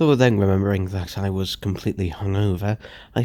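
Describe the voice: Plain reading aloud, with fairly even intonation.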